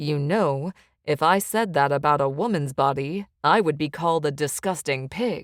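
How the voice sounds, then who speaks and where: A woman uses a put-on character voice, husky and quiet, with a very deep, low pitch. Her pitch varies in an ordinary way at a moderate pace, over a very clean recording with a silent background. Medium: read story. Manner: quiet, teasing.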